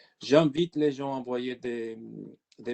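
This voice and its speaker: Speaking very slowly with an Italian accent, a man at medium pitch has a dark, mellow tone in a dry, close sound with no echo. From Italy. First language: Italian (speaking French). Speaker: IT consultant. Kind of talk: webinar presentation. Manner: halting.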